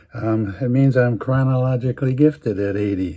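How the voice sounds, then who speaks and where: A man's somewhat breathy voice, dark and mellow in tone, at a moderate pace. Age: 80s+. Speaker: storyteller. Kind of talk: personal storytelling. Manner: halting.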